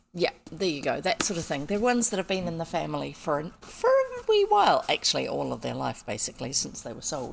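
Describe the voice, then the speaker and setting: In a New Zealand accent, a woman talks at a very fast pace with hardly any pauses. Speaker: streamer reading old children's books. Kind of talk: casual chat. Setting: live stream.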